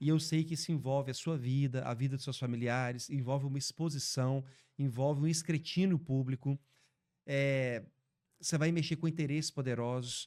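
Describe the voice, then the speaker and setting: A man with an ordinary speaking voice talks at a moderate pace, his fairly high pitch following fairly even intonation on a very clean recording with a silent background. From Brazil, Belo Horizonte (Minas Gerais). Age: 30s. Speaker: podcast host. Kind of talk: interview.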